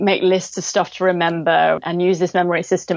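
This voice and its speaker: Here a woman with an English accent speaks at a medium pitch. Noticeable background noise runs behind her. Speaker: cognitive hypnotherapist. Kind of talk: interview. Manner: fast, animated; loud.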